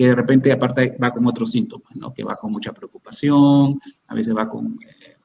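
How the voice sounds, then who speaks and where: A man is talking. His pace is moderate. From Peru. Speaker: psychiatrist. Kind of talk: expert Q&A answering audience questions. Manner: halting, many repetitions and false starts.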